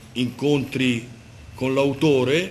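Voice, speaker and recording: At a very slow pace, a man speaks with a medium-pitched voice. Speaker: poet and course teacher. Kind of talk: event presenter speech.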